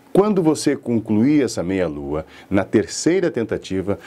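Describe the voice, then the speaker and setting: A man at a medium pitch with very wide pitch swings and a moderate pace, against noticeable background noise. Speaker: public speaking teacher and radio announcer. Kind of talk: lecture. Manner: didactic.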